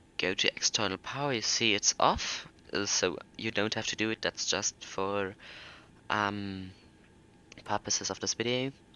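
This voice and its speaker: The speaker has a German accent, a moderate pace and ordinary pitch variation. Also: man. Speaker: flight simulator youtuber. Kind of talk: tutorial.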